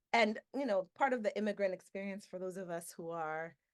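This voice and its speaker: Her medium pitch carries ordinary pitch variation as this woman speaks. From Miami, Florida (Dominican family). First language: Spanish. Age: 40s. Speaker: professor. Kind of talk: webinar talk. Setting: video call.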